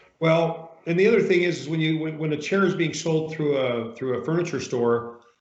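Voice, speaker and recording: A man's fairly high voice, with ordinary pitch variation, comes through audible room echo. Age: 60s. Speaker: massage chair retailer interviewing customers. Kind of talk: customer interview.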